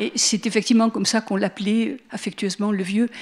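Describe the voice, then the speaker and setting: Her pace is fairly quick. The woman's voice is fairly high, with fairly even intonation. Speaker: lecturer on Walter Benjamin. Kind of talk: public lecture. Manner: hesitant, with fillers.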